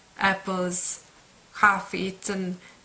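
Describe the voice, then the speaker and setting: With a Serbian accent, a woman at medium pitch speaks very slowly in a flat monotone, with noticeable background noise behind her. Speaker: book vlogger. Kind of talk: casual monologue. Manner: halting.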